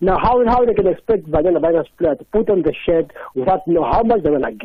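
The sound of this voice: This man speaks fast, his fairly high pitch carrying a slightly husky edge. His intonation is lively.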